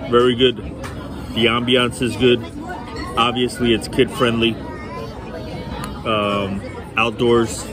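Against crowd noise in the background, the speech comes very slowly with a dry sound and no echo. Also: man. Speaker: restaurant vlogger. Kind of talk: casual vlog chat. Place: cafe. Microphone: phone near.

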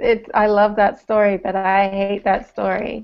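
A woman speaks at a fairly slow pace in a medium pitch, her clear, smooth tone showing vocal fry and little pitch movement.

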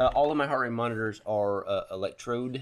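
A man's voice over noticeable background noise. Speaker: cycling channel host. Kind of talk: casual product review. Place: garage. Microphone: phone near.

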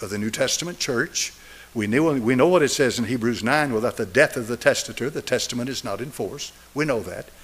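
A man with an Appalachian accent talks at a fairly quick pace with ordinary pitch variation. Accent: Southern US (Appalachian). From East Tennessee. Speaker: pastor. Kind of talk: sermon. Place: church. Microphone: podium.

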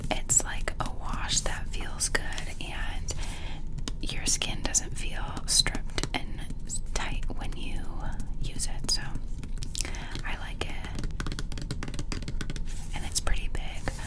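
A woman at a very slow pace with long, frequent pauses over loud background noise. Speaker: ASMR creator. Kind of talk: ASMR skincare haul, casual talk to camera. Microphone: studio mic.

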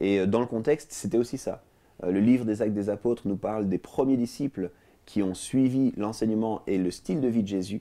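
The man's tone is dark and mellow, with ordinary pitch variation. He speaks at a fairly quick pace over a quiet background. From Switzerland, Lausanne; Switzerland. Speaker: talk show guest. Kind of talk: interview; interview answer. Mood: calm, friendly. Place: studio. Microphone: lapel.

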